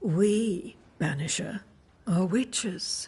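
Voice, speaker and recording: The female-sounding voice is a put-on character voice at a medium pitch. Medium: video game. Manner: cryptic, serene.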